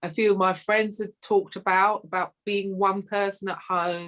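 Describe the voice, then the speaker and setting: In a London accent, the speaker keeps a moderate pace with flat, monotone intonation. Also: woman. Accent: London, local English. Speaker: playwright. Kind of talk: interview.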